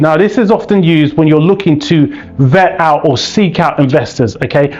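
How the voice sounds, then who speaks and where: A man in a British accent at a fairly quick pace, with music in the background. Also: very even loudness. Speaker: business funding educator, YouTuber. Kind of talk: educational explainer to camera. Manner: energetic, conversational.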